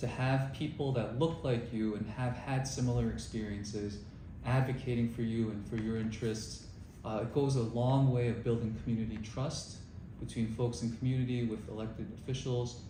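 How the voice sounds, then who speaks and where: A man with a New York accent talks at a moderate pace and medium pitch, with fairly even intonation. Room echo is audible, and background noise is noticeable. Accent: New York American. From New York (Bayside, Queens). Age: 30s. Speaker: city council candidate, former prosecutor. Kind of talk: interview.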